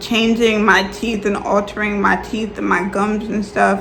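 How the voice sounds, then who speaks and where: A woman's medium-pitched voice in a monotone, flat delivery, with audible room echo and noticeable background noise. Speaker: YouTuber and teacher. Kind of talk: casual vlog tutorial. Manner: casual, filler-heavy.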